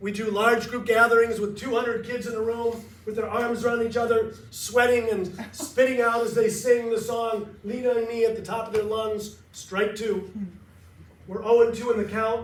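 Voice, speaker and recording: A man with an American accent speaks at a moderate pace, his pitch extremely high. The delivery is monotone and flat, with audible room echo. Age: 60s. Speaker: nonprofit founder and motivational speaker. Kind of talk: speech to a club audience.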